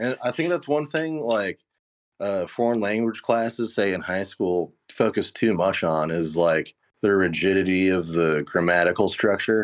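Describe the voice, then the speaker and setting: Against a quiet background, a man with an American accent and an ordinary speaking voice talks at a fairly low pitch. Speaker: guest. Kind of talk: casual chat.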